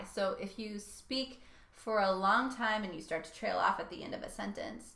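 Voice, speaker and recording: A woman's put-on character voice, raspy and medium in pitch, at a moderate pace. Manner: trailing off.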